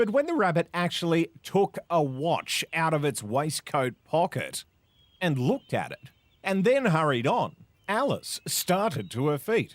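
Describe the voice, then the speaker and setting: A high-pitched man with an Australian accent, fairly slow pace and very wide pitch swings. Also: dry, close sound with no echo. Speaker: voice actor. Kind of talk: classic story reading.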